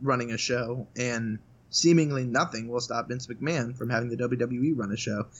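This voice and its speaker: This is a man with a medium pitch. He has a normal speaking voice and keeps a moderate pace. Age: 20s. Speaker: sports journalist. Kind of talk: casual chat. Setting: video call.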